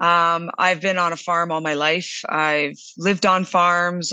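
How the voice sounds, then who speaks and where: A woman's fairly low voice with a bright, sharp tone, in a Western Canadian accent. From southern Alberta, Canada. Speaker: food company CEO. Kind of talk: interview.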